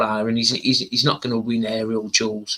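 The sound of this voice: The man's tone is bright and sharp.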